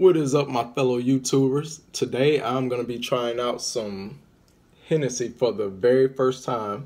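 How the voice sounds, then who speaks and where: A man speaks with fairly even intonation at a moderate pace. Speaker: vlogger. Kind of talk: casual vlog chat. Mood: relaxed, playful. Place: home room. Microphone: phone near.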